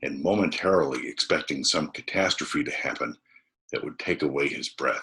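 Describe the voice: A man speaks with a bright, sharp tone. His voice has a husky, rough edge.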